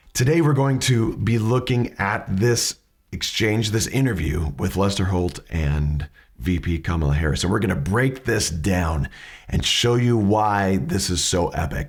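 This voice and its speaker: Somewhat breathy and fairly low in pitch, a man speaks with very wide pitch swings and very even loudness. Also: fairly slow pace. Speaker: educator on questioning skills. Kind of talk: tutorial.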